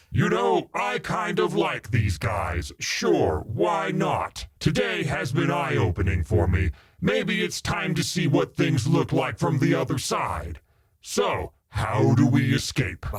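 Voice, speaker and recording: A man puts on a cartoonish character voice with very wide pitch swings. He holds a medium pitch and a fairly slow pace. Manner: casual, laid-back.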